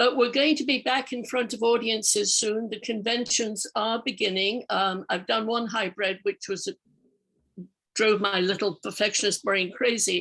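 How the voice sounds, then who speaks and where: With a plain, everyday voice, a woman speaks at a moderate pace, her fairly high pitch showing ordinary variation. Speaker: professional speaker. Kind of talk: casual comment in workshop.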